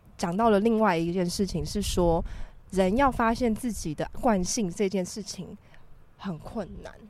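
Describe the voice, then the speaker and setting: Here is a woman with an unremarkable speaking voice. Her pitch varies in an ordinary way. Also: medium pitch for a woman, fairly slow pace. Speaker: podcast co-host. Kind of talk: casual chat. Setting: windy rooftop balcony.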